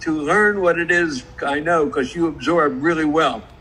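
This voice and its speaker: A man with a fairly high-pitched voice is heard against noticeable background noise. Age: 80s+. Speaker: car industry entrepreneur. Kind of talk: live stream interview. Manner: energetic.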